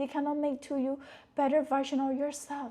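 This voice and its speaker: A soft-spoken woman with a high pitch. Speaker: motivational speaker. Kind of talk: casual talk to camera.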